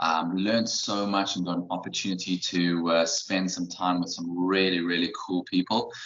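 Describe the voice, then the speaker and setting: Over noticeable background noise, a man with a very deep, low voice talks at a moderate pace in a flat monotone, hardly pausing at all. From South Africa. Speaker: running coach. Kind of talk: podcast interview. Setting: video podcast.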